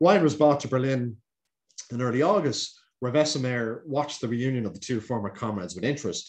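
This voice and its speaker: A man talks very fast in an Irish accent. The background is quiet. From Ireland. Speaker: historian. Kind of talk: lecture. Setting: video call. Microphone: webcam.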